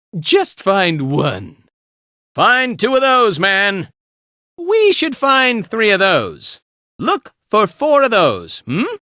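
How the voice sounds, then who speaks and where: His pace is very slow. The man is doing a put-on character voice. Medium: video game. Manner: casual, laid-back, chatty.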